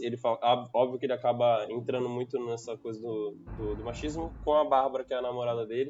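With a normal speaking voice, a man talks at a fairly quick pace. His pitch sits in the medium range and varies ordinarily. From Brazil, Santos (São Paulo state coast). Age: 20s. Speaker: product owner and computer engineer. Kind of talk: casual podcast panel discussion.

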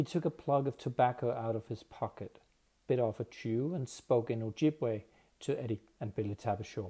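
A man with medium pitch speaks at a moderate pace in a dark, mellow tone that is somewhat breathy. His pitch varies in an ordinary way, on a very clean recording with a silent background. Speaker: audiobook narrator. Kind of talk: literary audiobook reading.

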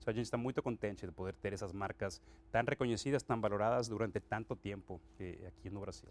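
A man with a Mexican accent, very fast and fairly low-pitched, with ordinary pitch variation. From Mexico, Acapulco. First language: Spanish (speaking Portuguese). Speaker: company president. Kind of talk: interview. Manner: mixes Spanish and Portuguese.

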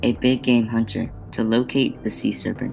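Music plays in the background as a man speaks. His pitch is medium and his pace is moderate. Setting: home-recorded podcast. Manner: stumbling reader, halting with false starts and repeated words; flat, earnest, steady pacing like a student presenter.

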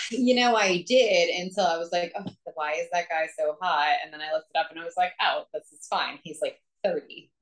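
Speaking at a fairly quick pace, a woman has a plain, everyday voice and a fairly low pitch. Her loudness swings widely, with ordinary pitch variation. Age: 30s. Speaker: podcast co-host. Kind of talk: casual chat.

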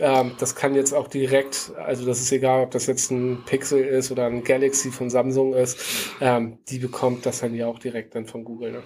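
Amid noticeable background noise, a man speaks at a moderate pace and medium pitch with monotone, flat intonation. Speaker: podcast co-host, tech worker. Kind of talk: casual chat. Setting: video call.

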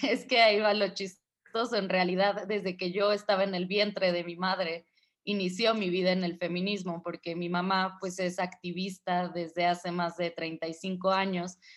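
At a fairly slow pace and medium pitch, a woman talks in a monotone, flat intonation with hardly any pauses. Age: 20s. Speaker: feminist activist and radio host. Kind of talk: interview.

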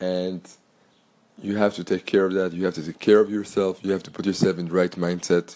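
A man with a French accent speaks at a fairly quick pace in a very deep, low pitch. His tone is dark and mellow, his intonation monotone and flat. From Belgium. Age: 30s. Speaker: podcast host and entrepreneur. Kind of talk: solo podcast monologue.

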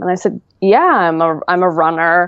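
A woman's fairly low-pitched, ordinary speaking voice at a fairly slow pace, with fairly even intonation. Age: 30s. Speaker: IVF patient sharing her story. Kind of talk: personal story interview.

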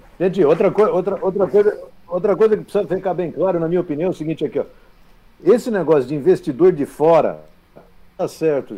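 Talking at a very fast pace, a man with a high pitch shows ordinary pitch variation but leaves long, frequent pauses. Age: 50s. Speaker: football club insider and commentator. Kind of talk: sports talk show.

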